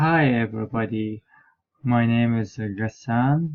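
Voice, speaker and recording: This man speaks in an Iraqi accent at a medium pitch. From southern Iraq. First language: Arabic. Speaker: graduate student and interpreter. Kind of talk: self-introduction. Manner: halting.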